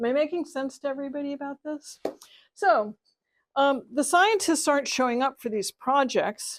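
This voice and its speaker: The recording is dry and close with no echo. A woman talks at a moderate pace in a high pitch. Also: ordinary pitch variation. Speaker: professor. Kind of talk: lecture.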